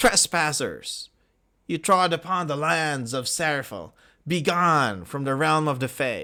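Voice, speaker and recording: On a very clean recording with a silent background, a man puts on a character voice with a fairly high pitch, speaking at a fairly slow pace. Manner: stern, commanding.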